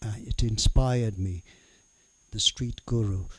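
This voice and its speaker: Speaking fairly slowly, the voice sounds somewhat breathy and keeps a fairly even intonation. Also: man. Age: 70s. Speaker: spoken word artist. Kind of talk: interview. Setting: studio. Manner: halting.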